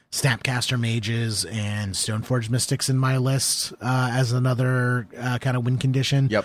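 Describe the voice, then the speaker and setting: A man with a normal speaking voice talks at a medium pitch and a fairly slow pace. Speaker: podcast co-host and card game player. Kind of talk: casual chat.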